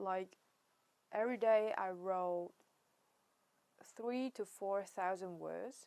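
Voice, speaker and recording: A woman speaks with a Chinese accent at medium pitch and with fairly even intonation. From China. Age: 20s. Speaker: writer and vlogger. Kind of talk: casual monologue vlog. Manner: halting, many fillers and restarts.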